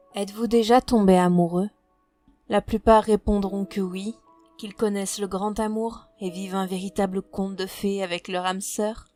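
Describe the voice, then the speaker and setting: Recorded in a dry, close sound with no echo and music in the background, a woman at medium pitch speaks at a fairly slow pace with monotone, flat intonation. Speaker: audiobook narrator. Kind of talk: horror story narration. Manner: slow, somber.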